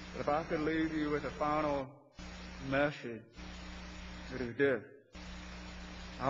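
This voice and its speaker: Against noticeable background noise, a man with an American accent talks fairly slowly at a fairly high pitch with fairly even intonation. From US South, South Carolina. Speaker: engineering supervisor. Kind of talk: workplace speech.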